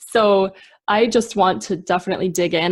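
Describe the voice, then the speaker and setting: With a Minnesota accent, a woman talks at a moderate pace and medium pitch over a quiet background. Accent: Minnesotan American. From Minnesota, US. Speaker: podcast host. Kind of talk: interview.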